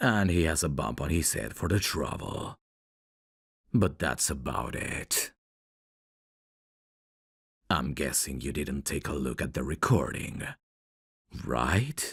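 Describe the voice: Doing a put-on character voice, a man speaks slowly with long, frequent pauses, lively intonation, extremely low pitch, a fairly bright tone and a slightly husky edge.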